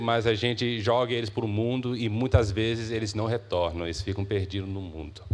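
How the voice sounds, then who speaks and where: A man speaks with an American accent at medium pitch. His intonation stays fairly even. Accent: non-native Portuguese, Brazilian-American. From US, Massachusetts, to Brazilian parents. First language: English (speaking Portuguese). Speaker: youth minister. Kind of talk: sermon. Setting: church. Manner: halting, many filler 'é'.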